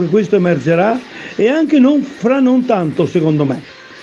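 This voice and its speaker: A man's high-pitched voice at a moderate pace, with noticeable background noise. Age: 80s. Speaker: former athlete. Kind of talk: personal testimony. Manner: halting, with repetitions and restarts; emphatic.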